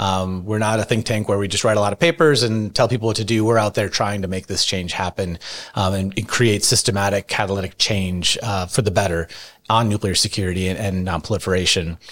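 With a plain, everyday voice, a man talks at a fairly quick pace, keeping a fairly low pitch and fairly even intonation. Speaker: nuclear policy expert at a nonprofit. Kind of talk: panel discussion interview.

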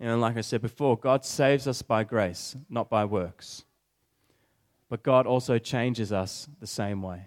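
An unremarkable speaking voice comes from a man of medium pitch at a fairly slow pace with ordinary pitch variation. The sound is dry and close, with no echo. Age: 20s. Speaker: preacher. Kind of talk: sermon.

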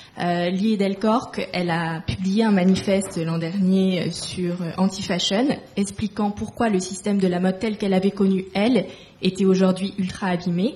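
Using an unremarkable speaking voice, a woman talks fairly slowly at medium pitch with fairly even intonation. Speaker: fashion school alumna, moderator. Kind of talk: interview questions.

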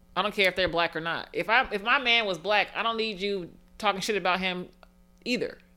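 On a very clean recording with a silent background, a woman with a medium pitch talks at a fairly quick pace, her tone bright and sharp and her pitch variation ordinary. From Las Vegas, Nevada. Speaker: comedian. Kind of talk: casual chat.

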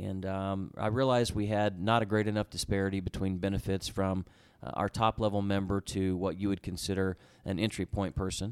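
A man with an Oklahoma accent, fairly low-pitched and fairly quick, in a monotone, flat delivery, with a dry, close sound, no echo, and a very clean recording over a silent background. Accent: Oklahoma American. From Oklahoma, US (Tulsa area). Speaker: sports team executive. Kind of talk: interview.

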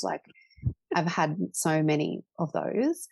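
A dry, close sound with no echo, an Australian accent, and a quiet background. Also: woman. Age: 30s. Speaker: portrait photographer. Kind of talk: interview. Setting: podcast recording.

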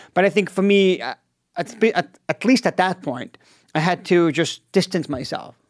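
A man's high voice at a moderate pace with ordinary pitch variation, in a dry, close sound with no echo. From Israel. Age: 40s. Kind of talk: casual interview.

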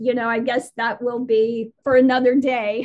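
Speaking at a fairly slow pace, a woman with a high pitch and fairly even intonation talks in an American accent. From Las Vegas, US. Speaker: historian. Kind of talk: interview.

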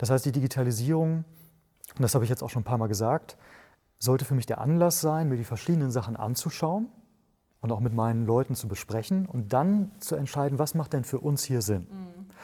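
On a very clean recording with a silent background, a man with a medium pitch and a dark, mellow, somewhat breathy tone speaks at a fairly quick pace with lively intonation. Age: 30s. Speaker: author and entrepreneur. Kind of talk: podcast interview.

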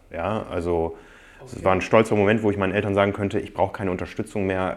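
A man talks at a very fast pace with a very deep, low pitch. His intonation stays monotone and flat. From northern Germany, Osnabrück. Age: 40s. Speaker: magazine publisher and triathlete. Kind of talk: interview conversation. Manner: hesitant with many fillers.

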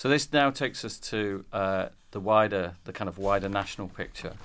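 The man's pitch is fairly low. He keeps to a moderate pace. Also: very clean recording, silent background. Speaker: publisher and podcast host. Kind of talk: panel discussion. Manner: halting.

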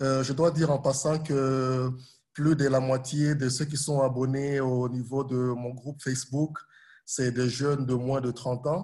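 At a very slow pace, a man talks in a medium-pitched, somewhat breathy voice with a dark, mellow tone and monotone, flat intonation. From Burundi, Congolese parents. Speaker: humanitarian worker and social media history storyteller. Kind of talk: interview.

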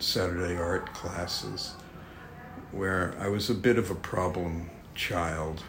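A speaker with a New York accent talks at a very slow pace. The room echo is audible, and background noise is noticeable. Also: man. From New York City. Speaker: art director and author. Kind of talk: casual chat. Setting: office.

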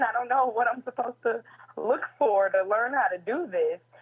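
A woman with an American accent, fairly high in pitch, at a moderate pace with ordinary pitch variation, over noticeable background noise. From Chicago suburbs, US Midwest. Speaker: associate producer. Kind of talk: casual interview. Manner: loud.

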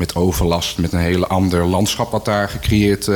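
With noticeable background noise, a man with a very deep, low pitch speaks at a moderate pace. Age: young. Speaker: local politician. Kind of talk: radio discussion. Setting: live radio in a cultural centre.

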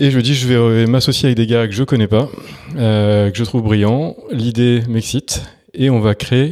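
A dark, mellow tone at a moderate pace with fairly even intonation. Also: man, medium pitch for a man. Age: 40s. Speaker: entrepreneur, startup co-founder. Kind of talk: interview. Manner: hesitant, frequent fillers.

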